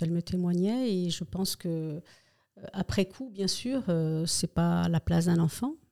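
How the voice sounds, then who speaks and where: A woman talks at a fairly slow pace in a dark, mellow tone, fairly low in pitch, with ordinary pitch variation. Her loudness swings widely. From Spain, moved to France as a child. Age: 60s. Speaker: retired nurse. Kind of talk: personal testimony interview. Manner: hesitant, many fillers.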